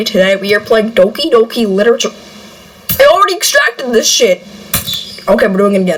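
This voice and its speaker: Over noticeable background noise, a woman speaks at a very fast pace with very even loudness. She takes long, frequent pauses. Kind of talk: casual gaming commentary.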